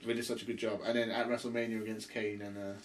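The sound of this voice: A man's fairly low voice at a fast pace, with little pitch movement and audible room echo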